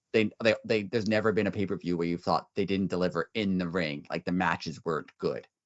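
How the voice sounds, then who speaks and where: A man with a very deep, low pitch and fairly even intonation, talking at a fairly quick pace with hardly any pauses. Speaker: wrestling podcast host. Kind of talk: casual chat. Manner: fast; loud.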